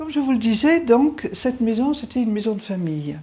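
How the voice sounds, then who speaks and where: A woman's somewhat breathy, dark, mellow voice with lively intonation at a moderate pace. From France, Auvergne (Livradois-Forez). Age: 70s. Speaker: retired teacher. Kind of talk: house tour narration. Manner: conversational, with fillers.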